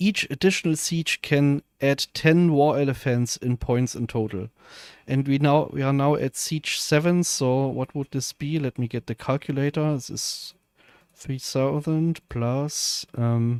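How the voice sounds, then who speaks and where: A man with a German accent, fairly even intonation and a fairly slow pace, in a dry, close sound with no echo and a very clean recording over a silent background. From Germany. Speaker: video game streamer. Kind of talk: live gameplay stream commentary. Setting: live stream. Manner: casual, hesitant with fillers.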